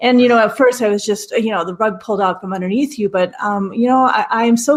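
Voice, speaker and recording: An unremarkable speaking voice with an American accent talks at a fairly quick pace. The intonation stays fairly even. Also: woman. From Minnesota. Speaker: airline pilot and aviation professor. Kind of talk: podcast interview.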